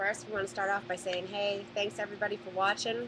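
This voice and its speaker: A woman's medium-pitched voice with a Boston accent at a moderate pace. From Boston area, Massachusetts. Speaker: storage auction buyer. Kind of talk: live Q&A. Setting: live stream.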